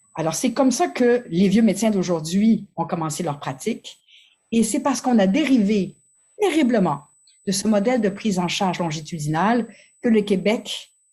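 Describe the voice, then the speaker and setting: A woman speaks at a moderate pace with lively intonation and a somewhat breathy voice, on a very clean recording with a silent background. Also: medium pitch for a woman. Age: 60s. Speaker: family physician. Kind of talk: conference talk. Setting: conference.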